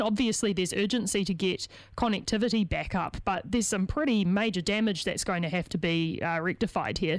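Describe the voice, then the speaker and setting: Speaking at a fairly quick pace, a woman of medium pitch uses lively intonation on a very clean recording with a silent background. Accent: New Zealand. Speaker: radio host interviewer. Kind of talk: radio interview.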